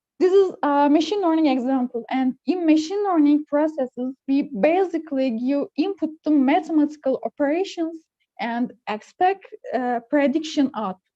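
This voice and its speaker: In a Turkish accent, a high-pitched woman speaks fairly slowly with a dark, mellow tone and lively intonation, the sound dry and close with no echo. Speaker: computer engineer. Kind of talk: technical presentation. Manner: halting, many fillers.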